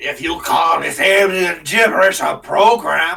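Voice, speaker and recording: A man's put-on character voice, high-pitched, at a fairly slow pace. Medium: audio drama. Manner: mocking, theatrical.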